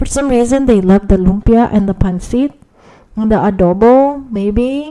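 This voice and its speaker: A woman speaks with a Filipino accent and a dark, mellow tone. Her pitch is fairly high, with ordinary variation. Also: moderate pace. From Philippines. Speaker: podcaster. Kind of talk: casual monologue. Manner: hesitant, many fillers.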